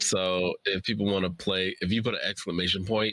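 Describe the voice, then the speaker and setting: Moving at a fairly quick pace, the speech carries a bright, sharp tone. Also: man. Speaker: writer. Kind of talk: casual chat. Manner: soft-spoken.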